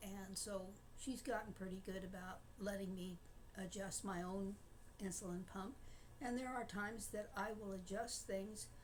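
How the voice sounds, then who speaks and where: Somewhat breathy and medium-pitched, a woman speaks at a fairly slow pace with audible room echo. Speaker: diabetic vlogger sharing personal experience. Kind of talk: casual personal talk to camera. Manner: halting, many filler words.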